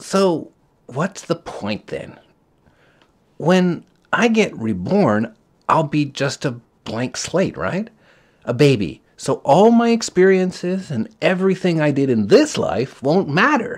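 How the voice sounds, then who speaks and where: Fairly slow, put-on character voice from a man, pitched high. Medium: read story.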